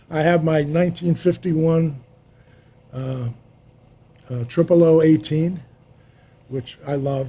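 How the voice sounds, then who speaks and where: Against noticeable background noise, a man with a fairly high pitch speaks at a fairly slow pace with fairly even intonation and long, frequent pauses. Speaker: film sound mixer. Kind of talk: casual interview.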